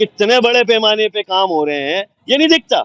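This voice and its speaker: With lively intonation and a high pitch, a man speaks in a dry, close sound with no echo. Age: 60s. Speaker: veteran journalist and politician. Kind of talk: interview. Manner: animated.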